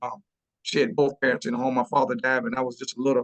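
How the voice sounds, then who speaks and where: This man speaks with a South Carolina accent at a fairly high pitch, in a dry, close sound with no echo. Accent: Southern US (South Carolina). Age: 60s. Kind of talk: webinar panel discussion. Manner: halting, many repetitions and fillers.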